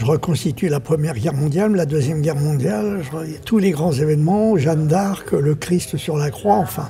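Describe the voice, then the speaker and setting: A man's fairly high pitch at a moderate pace, with ordinary pitch variation, hardly any pauses and noticeable background noise. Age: 80s+. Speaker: film director. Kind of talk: interview answer.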